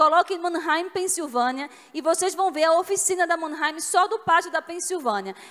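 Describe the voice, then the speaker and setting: A speaker with a regional Brazilian accent talks at a moderate pace. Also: woman. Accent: noticeable regional Brazilian. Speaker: business executive, conference speaker. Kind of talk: conference talk. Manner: conversational, with fillers.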